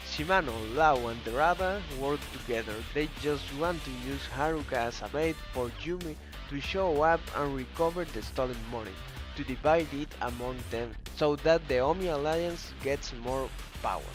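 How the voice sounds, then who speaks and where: Music plays behind a man. He talks at a moderate pace. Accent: non-native. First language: not English. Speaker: video game story narrator. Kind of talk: video game story summary narration.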